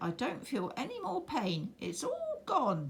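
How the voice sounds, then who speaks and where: A female-sounding, put-on character voice speaks at a fairly high pitch and a fairly slow pace. Clear background noise is present. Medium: read story.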